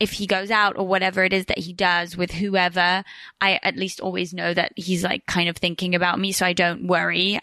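A woman's bright, sharp, medium-pitched voice, fairly quick and monotone with flat intonation, over a quiet background. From Switzerland and England, English family. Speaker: podcaster. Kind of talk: casual chat. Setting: studio, on host's couch.

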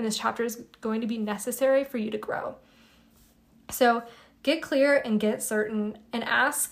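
With a normal speaking voice, a woman talks at a fairly high pitch and moderate pace, her pitch varying in an ordinary way. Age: 20s. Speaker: spiritual podcast host. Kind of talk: solo podcast monologue. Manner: casual, conversational.

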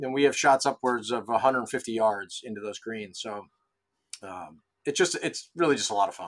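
A man speaks in a plain, everyday voice at a medium pitch with ordinary pitch variation. His loudness swings widely in a very clean recording with a silent background. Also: fairly quick pace. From Rochester, New York. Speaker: golf club head pro. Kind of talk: interview.

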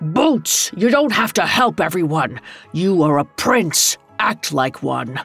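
A woman's put-on character voice, low in pitch with a slightly husky edge and vocal fry, slow in pace with lively intonation, over faint music in the background

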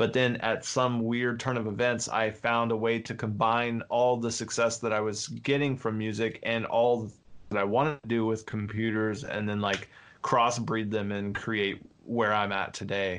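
A man speaks at a medium pitch in a monotone with flat intonation. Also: moderate pace. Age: 30s. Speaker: music producer and software entrepreneur. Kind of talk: interview. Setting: video call.

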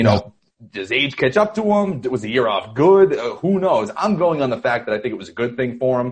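Speaking at a fairly quick pace with hardly any pauses, a man with an American accent sounds somewhat breathy, his pitch swinging very widely and his loudness varying greatly. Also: medium pitch for a man. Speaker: sports writer. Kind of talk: casual chat.

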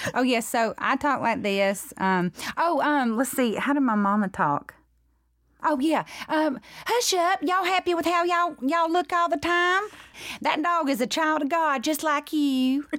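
A woman's high-pitched voice with a slight Southern US accent, very wide pitch swings, very even loudness and a moderate pace. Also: very clean recording, silent background. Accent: mild Southern US. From US South. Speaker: actress. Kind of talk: casual interview. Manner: laughs often.

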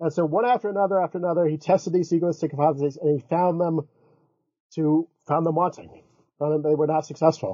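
Speaking very fast with an American accent, a man with a fairly high voice keeps his loudness very even. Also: fairly even intonation. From US South, Florida. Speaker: philosophy professor. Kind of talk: interview.

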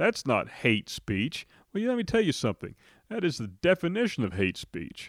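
The man talks at a moderate pace. The sound is dry and close with no echo, in a very clean recording with a silent background. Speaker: podcast host, lawyer. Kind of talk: angry rant. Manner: indignant, forceful; repetitive, emphatic.

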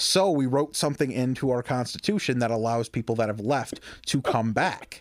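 Here a man has an unremarkable speaking voice at a medium pitch. He keeps a moderate pace with ordinary pitch variation. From suburban Detroit, Michigan. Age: 20s. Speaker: stand-up comedian. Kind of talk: casual chat.

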